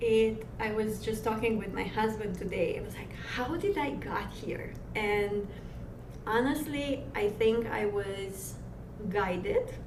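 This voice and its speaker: A woman with a Romanian accent at a very slow pace, with audible room echo and noticeable background noise. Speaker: massage therapist and energy healer. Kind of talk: interview. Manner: rolled R's.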